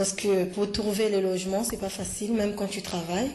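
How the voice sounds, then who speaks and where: A woman speaks at a fairly slow pace in a monotone, flat intonation, her pitch in the medium range. Her tone is dark and mellow, and the room echo is audible. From Ivory Coast. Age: 30s. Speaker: language learner. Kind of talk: interview. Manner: halting.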